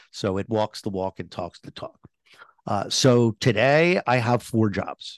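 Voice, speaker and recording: With an unremarkable speaking voice, a man at medium pitch talks at a fairly slow pace, his lively intonation and big swings in loudness captured in a dry, close sound with no echo. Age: 60s. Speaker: tech columnist and author. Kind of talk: interview. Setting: remote call from home.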